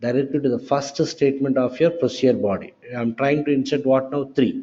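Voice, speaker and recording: This is a plain, everyday voice moving at a moderate pace with ordinary pitch variation. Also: man. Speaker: software trainer. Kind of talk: lecture.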